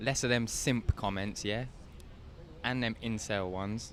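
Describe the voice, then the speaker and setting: A man with a British accent, medium-pitched and fairly slow, in a monotone, flat intonation. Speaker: live stream host. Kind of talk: casual chat. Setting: at UFC weigh-ins, live stream.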